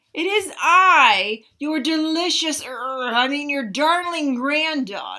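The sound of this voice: A woman adopts a put-on character voice, talking slowly-ish at a fairly slow pace with a high pitch.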